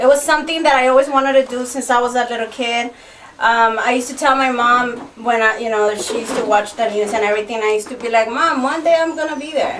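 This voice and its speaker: A woman's high voice with a slight Spanish accent, very fast delivery and ordinary pitch variation, against noticeable background noise. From Los Angeles, Salvadoran family. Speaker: TV actress and host. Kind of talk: radio interview.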